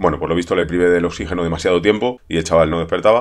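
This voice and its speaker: Very fast pace from a man at a very deep, low pitch, with fairly even intonation. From Spain. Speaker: streamer. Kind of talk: monologue to camera. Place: home room. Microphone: webcam.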